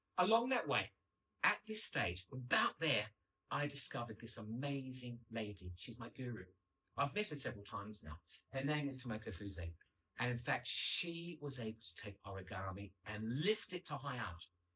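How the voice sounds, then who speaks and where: A man at a medium pitch and moderate pace, bright and sharp in tone, with lively intonation. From Australia. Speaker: paper engineer and artist. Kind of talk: public lecture. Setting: stage with audience. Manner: animated.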